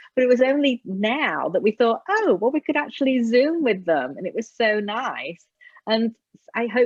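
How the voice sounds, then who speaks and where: A woman with an English accent at a fairly slow pace. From England. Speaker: Alexander Technique teacher. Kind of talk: casual interview.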